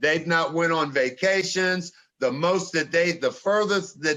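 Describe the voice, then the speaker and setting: Fairly even intonation and a moderate pace from a man with a plain, everyday voice pitched fairly high. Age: 60s. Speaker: podcast co-host. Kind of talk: casual conversational discussion.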